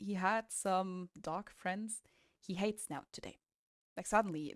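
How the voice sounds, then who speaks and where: Pitched in the medium range, a woman talks with a non-native accent. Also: dry, close sound with no echo. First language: not English. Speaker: dog owner vlogger. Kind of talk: casual vlog talk.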